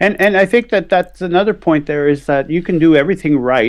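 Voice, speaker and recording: A man speaks in a plain, everyday voice. His pace is fairly quick, with ordinary pitch variation. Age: 60s. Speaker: physician and yoga instructor. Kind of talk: casual chat.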